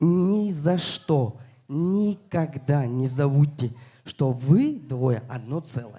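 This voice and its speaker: Very slow and somewhat breathy, a man speaks in a dark, mellow tone at a fairly high pitch with ordinary pitch variation. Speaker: wedding guest giving a toast. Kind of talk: wedding toast. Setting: wedding hall with guests.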